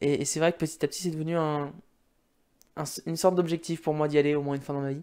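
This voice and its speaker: Over a quiet background, a man rattles along at a very fast pace in a fairly high pitch with monotone, flat intonation. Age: 20s. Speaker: gaming YouTuber. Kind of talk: casual monologue to camera. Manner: halting, many fillers. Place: home room. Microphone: studio mic.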